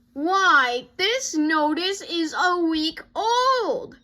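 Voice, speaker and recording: In a put-on character voice, a woman with an extremely high pitch projects loudly while speaking at a very slow pace. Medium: read story. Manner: firm, scolding.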